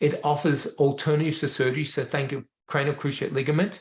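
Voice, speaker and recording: Somewhat breathy and fairly high-pitched, a man speaks against a quiet background. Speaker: veterinarian, rehab educator. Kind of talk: webinar presentation.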